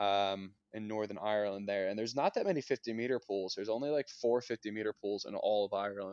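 With a Mid-Atlantic American accent, a man of medium pitch speaks at a fairly quick pace with fairly even intonation. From Pennsylvania, US. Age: 20s. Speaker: Olympic swimmer. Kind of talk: casual interview. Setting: remote call.

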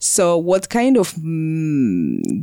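A woman speaks in a dark, mellow tone. The recording is very clean, with a silent background. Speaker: podcast co-host. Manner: halting, hesitant with many fillers.

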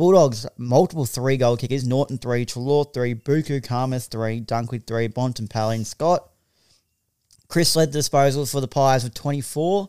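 Dry, close sound with no echo carries a man's dark, mellow voice, medium in pitch, with an Australian accent, ordinary pitch variation and a moderate pace. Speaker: podcast host. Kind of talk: casual chat. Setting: studio.

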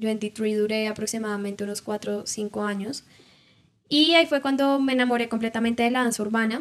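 A woman with an ordinary speaking voice, fairly high pitch, ordinary pitch variation and a fairly quick pace. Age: 20s. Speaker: dancer and entrepreneur. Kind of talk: interview.

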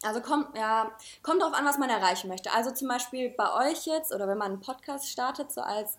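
High pitch and ordinary pitch variation from a woman. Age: 20s. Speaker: junior art director. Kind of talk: casual chat.

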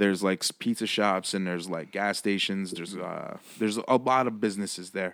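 The recording is very clean, with a silent background, and a man speaks in an ordinary speaking voice at a fairly low pitch. He talks at a fairly quick pace with fairly even intonation and hardly any pauses. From Six Nations, Ontario, Canada. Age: 30s. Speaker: music producer. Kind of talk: casual chat.

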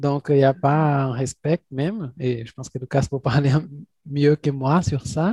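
Fairly slowly and with fairly even intonation, a man speaks at a fairly high pitch in a somewhat breathy voice. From Brazil, Minas Gerais. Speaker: podcast host. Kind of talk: interview.

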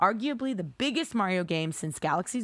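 The recording is very clean and the background silent. A woman talks with lively intonation. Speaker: video game podcast co-host. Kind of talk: reading aloud. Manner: put-on announcer voice.

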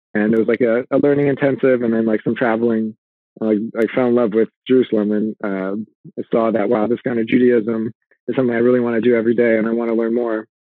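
With a Californian accent and medium pitch, a man talks at a very fast pace in monotone, flat intonation. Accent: Californian American. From US West Coast, Los Angeles. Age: 30s. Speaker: fitness and nutrition coach. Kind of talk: casual interview.

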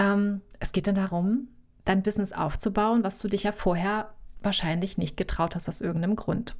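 With an unremarkable speaking voice, a woman talks at a moderate pace in a medium pitch with fairly even intonation. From North Sea coast, northern Germany. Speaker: visibility coach. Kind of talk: interview.

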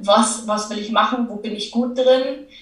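A woman's fairly high voice in a Bavarian accent, with audible room echo. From Lower Bavaria, Germany. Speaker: entrepreneur and business coach. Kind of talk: casual interview.

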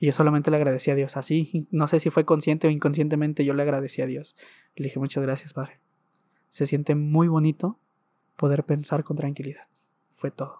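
A man's fairly high, dark and mellow voice at a fairly quick pace, monotone and flat in intonation, with a dry, close sound, no echo and a quiet background. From Mexico, Ciudad Juárez, Chihuahua. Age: 20s. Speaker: churchgoer sharing a faith story. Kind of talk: testimony.

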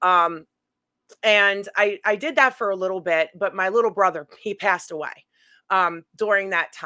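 Recorded very cleanly against a silent background, a woman speaks in an American accent with a bright, sharp tone. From New York City, Brooklyn. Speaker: paranormal investigator and psychic medium. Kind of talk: casual chat.

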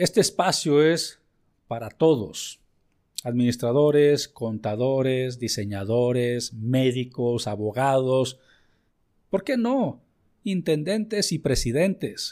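Recorded very cleanly against a silent background, a man speaks at a very slow pace and medium pitch, his warm, dark, mellow tone carrying lively intonation. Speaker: business podcast host and consultant. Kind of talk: educational monologue. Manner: warm, conversational.

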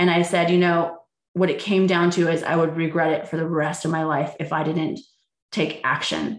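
A woman with an American accent, at a moderate pace, with monotone, flat intonation. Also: quiet background. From San Jose, California. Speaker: LGBTQ community activist and small business owner. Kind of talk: interview storytelling.

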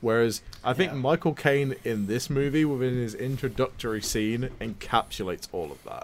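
Here is a normal speaking voice moving at a fairly quick pace. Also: man. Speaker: podcast co-host. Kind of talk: casual chat.

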